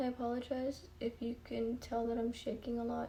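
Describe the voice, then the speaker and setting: A woman speaks quietly at a moderate pace, her fairly high voice carrying a dark, mellow tone. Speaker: beauty YouTuber. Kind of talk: makeup tutorial chat. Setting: home, early morning. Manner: speaking quietly; casual with many filler ums.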